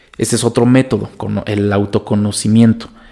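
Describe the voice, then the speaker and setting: A man's medium-pitched voice carries a dark, mellow tone. He speaks at a fairly quick pace. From Mexico. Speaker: language learning content creator. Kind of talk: casual monologue podcast. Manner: animated.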